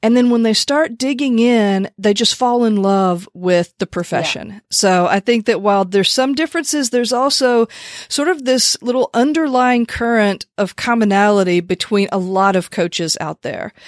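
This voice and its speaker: Delivered at a moderate pace with lively intonation and hardly any pauses, an unremarkable speaking voice comes through with a dry, close sound and no echo. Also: woman, fairly high pitch for a woman. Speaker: podcast host. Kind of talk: interview.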